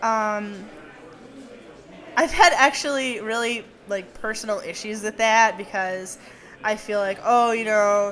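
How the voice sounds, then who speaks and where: Speaking at a fairly slow pace with long, frequent pauses, a woman is heard with audible room echo. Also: fairly high pitch for a woman, ordinary pitch variation. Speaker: podcast host. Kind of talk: live talk to audience. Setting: stage with small audience. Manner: stuttering; casual, lots of fillers.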